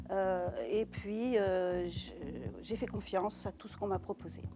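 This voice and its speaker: Music plays behind a woman who talks at a fairly slow pace. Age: 60s. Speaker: breast cancer patient. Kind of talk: testimony. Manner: halting.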